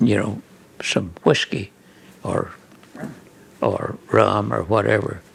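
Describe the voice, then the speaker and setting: Against noticeable background noise, a man with an American accent speaks at a very slow pace. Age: 90s. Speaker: photographer. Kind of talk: interview answer. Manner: hesitant, halting.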